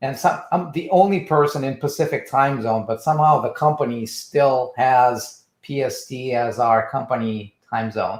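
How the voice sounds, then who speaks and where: A man with a medium-pitched, somewhat breathy voice speaks at a moderate pace with ordinary pitch variation. The recording is very clean, with a silent background. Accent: Russian. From Russia. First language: Russian. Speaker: trademark business founder. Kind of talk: casual interview.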